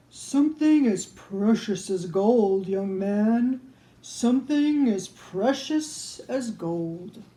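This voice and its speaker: Very slow, fairly high-pitched speech from a woman using a put-on character voice. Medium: read story.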